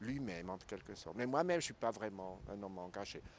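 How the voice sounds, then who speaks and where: A man is talking. His speech carries a non-native accent. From Switzerland. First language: not French (speaking French). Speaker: documentary filmmaker. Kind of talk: interview. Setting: festival.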